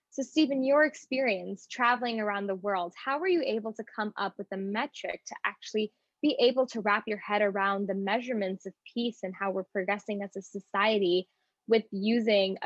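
With ordinary pitch movement at a moderate pace, this is an unremarkable speaking voice. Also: woman. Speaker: student podcast host. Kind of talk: interview.

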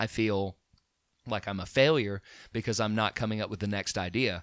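In an Alabama accent, a man talks at a moderate pace with a fairly low pitch. The recording is very clean, with a silent background. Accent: Southern US (Alabama). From Alabama (Chelsea). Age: 30s. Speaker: musician and DJ business owner. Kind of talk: casual chat.

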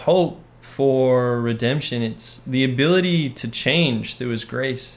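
A man with an ordinary speaking voice, medium pitch, and ordinary pitch variation. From Utah, Orem. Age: 20s. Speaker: missionary. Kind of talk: casual interview about faith.

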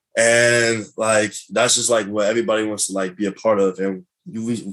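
Fairly low in pitch, a man speaks in an unremarkable speaking voice with fairly even intonation. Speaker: college football player. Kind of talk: interview.

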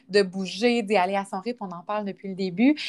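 In a very clean recording with a silent background, a woman with a Quebec accent speaks at a moderate pace with a fairly high pitch. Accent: Québécois French. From Quebec, Quebec City region. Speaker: podcast host, fitness instructor. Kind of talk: casual interview.

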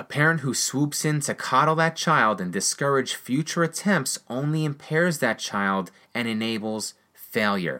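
The speaker has an American accent and a bright, sharp tone. Intonation is lively while the pace stays fairly slow. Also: man, medium pitch for a man, very clean recording, silent background. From rural United States. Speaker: business coach and podcast host. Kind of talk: scripted motivational monologue. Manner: energetic, encouraging.

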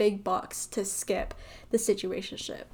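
Speaking in a plain, everyday voice, a woman keeps a medium pitch, a fairly slow pace and fairly even intonation. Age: 20s. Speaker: solo podcast host. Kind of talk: casual monologue.

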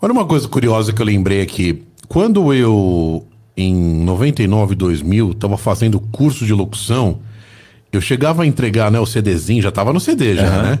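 A man speaks at a moderate pace with a fairly low pitch and a dark, mellow tone. His voice is somewhat breathy, and its loudness stays very even. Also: lively intonation. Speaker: podcast host. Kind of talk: casual interview chat. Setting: studio.

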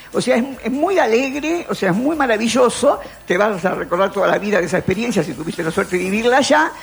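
Very fast, fairly high-pitched speech from a woman with very wide pitch swings over noticeable background noise. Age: 80s+. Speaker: philosopher and columnist. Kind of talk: radio column, casual talk. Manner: halting, repeats words.

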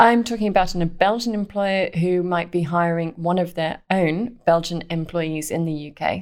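Speaking with a British accent, a woman with a fairly low pitch keeps a moderate pace and fairly even intonation, with hardly any pauses. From Britain. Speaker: startup accelerator director. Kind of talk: podcast interview.

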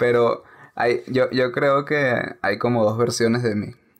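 Over a silent background in a very clean recording, a man with a normal speaking voice talks at a medium pitch with fairly even intonation. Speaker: film podcast co-host. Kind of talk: casual chat. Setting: recording from home during quarantine.

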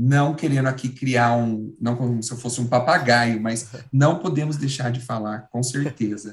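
He talks at a moderate pace with medium pitch and ordinary variation. The man's voice is somewhat breathy. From São Paulo. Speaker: actor and comedian. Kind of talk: casual chat.

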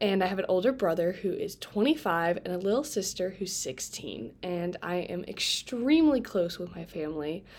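Speaking with a Midwestern American accent and lively intonation, a woman barely pauses in a very clean recording with a silent background. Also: medium pitch for a woman, moderate pace. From Indiana, Fort Wayne. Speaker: college student podcast host. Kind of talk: casual solo podcast talk. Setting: home bedroom. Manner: casual, filler-heavy with laughs.

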